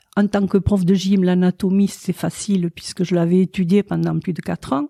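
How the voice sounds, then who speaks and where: A woman speaks fairly slowly at a medium pitch, her dark, mellow tone and fairly even intonation captured in a dry, close recording with no echo. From southwest France, Gers. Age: 80s+. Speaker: sculptor and painter. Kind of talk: interview. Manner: halting.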